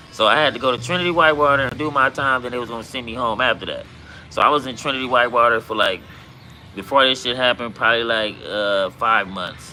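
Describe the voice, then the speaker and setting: A man with a slight Southern US accent, medium pitch and ordinary pitch variation, talking very fast over noticeable background noise. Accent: sounds country, Southern-tinged. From Compton, Los Angeles, California. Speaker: livestreamer, former gang member. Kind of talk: casual livestream chat and storytelling. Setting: livestream. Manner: casual, filler-heavy.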